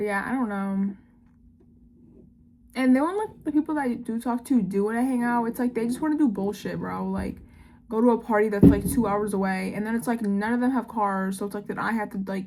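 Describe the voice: A slightly mellow tone at a fairly quick pace. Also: woman, medium pitch for a woman, ordinary pitch variation.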